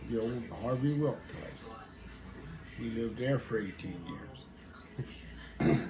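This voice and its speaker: Very slow delivery with lively intonation and long, frequent pauses, in a western Pennsylvania accent, over music in the background. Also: man, medium pitch for a man. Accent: rural western Pennsylvania American. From rural western Pennsylvania. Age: 80s+. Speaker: local elder interviewee. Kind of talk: interview.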